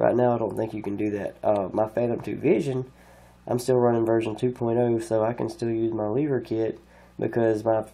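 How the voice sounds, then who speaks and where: Medium in pitch, this man's voice has a dark, mellow tone. His intonation is fairly even, over a quiet background. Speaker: drone hobbyist YouTuber. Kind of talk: tutorial. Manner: rambling casual delivery.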